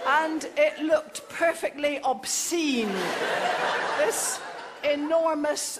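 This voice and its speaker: Over loud background noise, the speech moves at a very slow pace with ordinary pitch variation and long, frequent pauses. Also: woman. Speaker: comic storyteller. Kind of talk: comic monologue. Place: stage.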